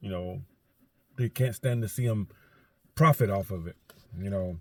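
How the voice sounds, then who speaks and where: Somewhat breathy, a man speaks at a fairly low pitch and a moderate pace with ordinary pitch variation. The sound is dry and close, with no echo. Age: 60s. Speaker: vlogger and garbage truck loader. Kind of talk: casual vlog monologue. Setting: in a truck in driveway. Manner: rambling with many fillers.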